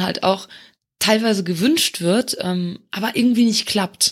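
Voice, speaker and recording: A woman speaks in a normal speaking voice at a fairly slow pace with ordinary pitch variation, in a very clean recording with a silent background. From Luxembourg. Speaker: community manager. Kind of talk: casual interview.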